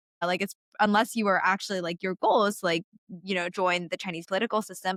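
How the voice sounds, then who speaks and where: In a very clean recording with a silent background and a dry, close sound with no echo, a woman speaks with an American accent. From US, Seattle area. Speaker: writer, tech commentator. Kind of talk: casual interview conversation.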